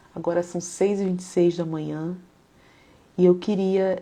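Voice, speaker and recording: A woman speaks in a fairly low, dark and mellow voice with a calm tone and flat, monotone intonation. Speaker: psychologist and faith-based live host. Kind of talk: live stream talk mixing psychology and devotional teaching. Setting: live stream. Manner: calm, reflective.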